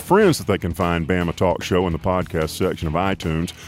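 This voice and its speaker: A man with an Alabama accent at a very fast pace. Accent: US Southern (Alabama). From Alabama, Tuscaloosa. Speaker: podcast host. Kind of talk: casual interview; scripted intro. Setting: studio.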